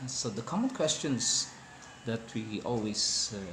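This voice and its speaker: A man with a non-native accent, medium pitch and a very slow pace, amid noticeable background noise. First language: not English. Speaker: hospitality worker explaining wine. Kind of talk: informal educational talk. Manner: hesitant, many fillers.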